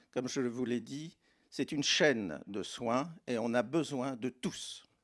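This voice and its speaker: A man's voice sits at a medium pitch and carries vocal fry. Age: 70s. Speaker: doctor. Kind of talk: panel discussion.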